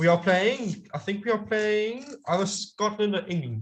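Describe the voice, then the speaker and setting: A man's high-pitched speech at a moderate pace, with ordinary pitch variation. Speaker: amateur rugby pundit. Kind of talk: casual chat. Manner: halting, self-correcting.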